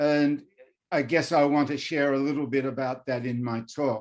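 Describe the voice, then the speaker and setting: Against a quiet background, a man with a fairly high voice talks at a fairly slow pace. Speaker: professor. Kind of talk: lecture. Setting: video call.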